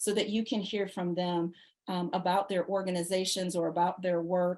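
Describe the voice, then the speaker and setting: A woman in a normal speaking voice, with fairly even intonation and a moderate pace. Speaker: leadership program director. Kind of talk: informational presentation.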